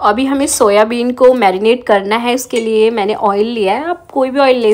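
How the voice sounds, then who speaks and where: Amid noticeable background noise, a woman with a fairly high pitch and ordinary pitch variation speaks at a moderate pace. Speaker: homemaker vlogger. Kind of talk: vlog voice-over with recipe tutorial. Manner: casual, chatty.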